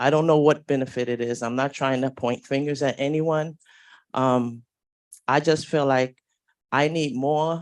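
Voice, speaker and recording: Against a quiet background, a woman with a New York accent and a very deep, low pitch talks at a fairly slow pace with long, frequent pauses. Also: fairly even intonation. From New York City. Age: 50s. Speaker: public housing tenant. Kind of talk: public comment. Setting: community board meeting.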